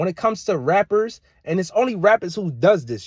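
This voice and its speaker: Lively in intonation and animated in tone, a man talks at a fairly quick pace. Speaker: social media commentator. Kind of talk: casual rant to camera. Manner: fast.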